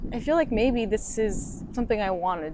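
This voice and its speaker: A woman with a Japanese accent and ordinary pitch variation. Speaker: actor. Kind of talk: casual interview.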